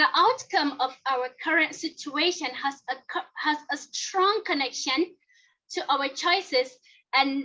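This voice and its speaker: A woman with a high, bright, sharp voice projects it in a raised way, talking at a fairly slow pace with ordinary pitch variation. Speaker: toastmasters club member giving speech. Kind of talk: prepared speech.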